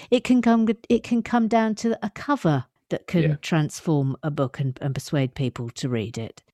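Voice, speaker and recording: The tone is dark and mellow, with an English accent and very wide pitch swings. The pace is moderate, and the sound is dry and close with no echo. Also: woman, very deep, low pitch for a woman. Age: 50s. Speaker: writer and comedian. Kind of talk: casual chat.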